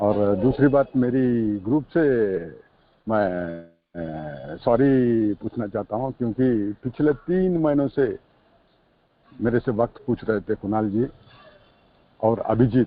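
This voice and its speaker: With a South Indian accent, a man speaks in a lively, varied intonation, broken by long, frequent pauses. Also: medium pitch for a man. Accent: South Indian accent in Hindi. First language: a South Indian language (speaking Hindi). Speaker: recovering alcoholic, firefighter. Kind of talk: support group sharing. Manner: halting, many fillers; Hindi mixed with English.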